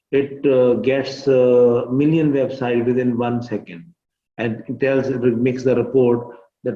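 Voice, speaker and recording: Speaking fairly slowly with a Pakistani accent, a man keeps a medium pitch and a flat, monotone delivery. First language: Urdu. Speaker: teacher. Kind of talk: tutorial. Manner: halting.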